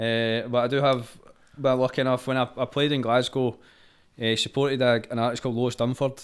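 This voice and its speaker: A man with a Scottish accent, medium pitch, monotone, flat intonation and a fairly quick pace. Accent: Scottish (Fife). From Scotland, Fife. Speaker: singer-songwriter. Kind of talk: casual chat.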